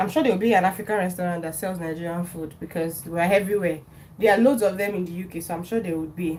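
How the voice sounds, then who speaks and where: Over noticeable background noise, a woman with a fairly low-pitched voice talks at a very fast pace. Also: fairly even intonation. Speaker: cooking livestreamer. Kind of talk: live cooking stream, casual chat. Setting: home kitchen. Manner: chatty.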